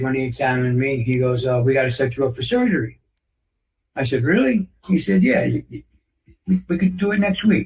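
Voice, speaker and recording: This man has a medium-pitched, somewhat breathy voice with an American accent. His pitch varies in an ordinary way. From New York City. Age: 60s. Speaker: author on natural health. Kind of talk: interview. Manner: halting, repeats words.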